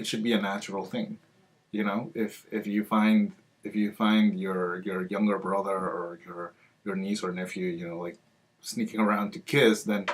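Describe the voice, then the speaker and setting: A man's fairly low voice at a moderate pace, with fairly even intonation. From Peru. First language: Spanish. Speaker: library outreach coordinator. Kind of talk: interview answer.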